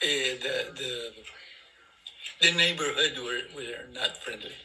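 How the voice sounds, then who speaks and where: A man speaking at a fairly slow pace amid noticeable background noise. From Philippines. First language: Filipino language. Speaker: great-grandfather interviewee. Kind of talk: family interview. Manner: halting.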